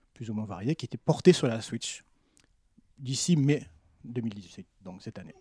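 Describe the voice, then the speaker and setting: A man with a dark, mellow tone speaks at a moderate pace with ordinary pitch variation. The sound is dry and close with no echo, on a very clean recording with a silent background. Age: 40s. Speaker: French teacher and translator. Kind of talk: casual chat.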